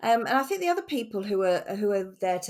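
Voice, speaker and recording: A woman speaks with a slight Norfolk accent. The recording is very clean with a silent background. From England, Norfolk. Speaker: communications executive. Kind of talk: podcast conversation.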